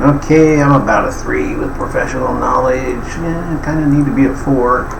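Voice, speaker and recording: A man speaks at a fairly high pitch. Noticeable background noise and audible room echo surround him. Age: 70s. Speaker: life coach. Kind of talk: tutorial. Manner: casual, filler-heavy.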